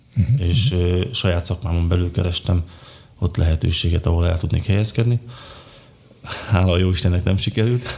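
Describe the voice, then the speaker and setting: A man's very deep, low voice with ordinary pitch variation and very even loudness, at a fairly quick pace with long, frequent pauses. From Slovakia, Bodrogköz (Hungarian minority). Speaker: design engineer and beekeeper. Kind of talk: interview.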